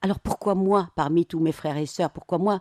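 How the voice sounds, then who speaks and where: With an Arabic accent, a woman speaks at a fairly low pitch in a dark, mellow tone, the sound dry and close with no echo. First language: Arabic (speaking French). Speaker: novelist. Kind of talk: radio interview.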